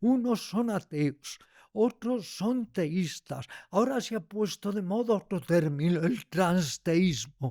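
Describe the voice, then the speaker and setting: A man speaks very slowly at a high pitch, with lively intonation and a dark, mellow tone. The sound is dry and close with no echo, in a very clean recording with a silent background. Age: 80s+. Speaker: yoga teacher and writer. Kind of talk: interview conversation.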